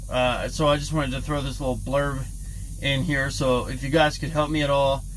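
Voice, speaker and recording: Mumbling at a moderate pace with fairly even intonation, a man is heard in audible room echo. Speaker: trucker vlogger. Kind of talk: casual vlog talk to camera. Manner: mumbling, stumbling; halting, stuttering.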